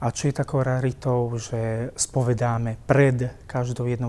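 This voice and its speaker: A man speaks with a dark, mellow tone at a medium pitch. His intonation is monotone and flat, and his pace is fairly slow. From Slovakia, Púchov; Slovakia. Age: 30s. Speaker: priest. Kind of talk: personal testimony interview. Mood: calm, warm, earnest. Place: church. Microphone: lapel.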